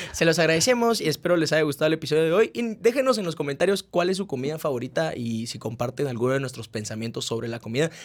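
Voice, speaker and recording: In a fairly high voice with very wide pitch swings, a man talks very fast with hardly any pauses. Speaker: podcast host. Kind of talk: casual chat.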